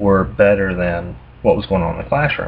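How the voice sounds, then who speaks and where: A man speaks with a Southern US accent. His pitch is fairly low. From US South. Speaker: math tutor. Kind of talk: casual explanatory talk. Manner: hesitant, many fillers.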